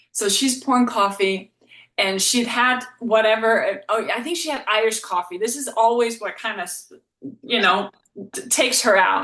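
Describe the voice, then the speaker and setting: In a Danish accent, the speaker uses a bright, sharp tone with ordinary pitch variation at a moderate pace. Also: woman, fairly high pitch for a woman. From Denmark. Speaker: relationship coach and psychotherapist. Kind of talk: podcast interview.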